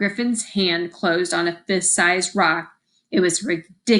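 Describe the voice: The voice is plain reading aloud, with ordinary pitch variation. The background is quiet.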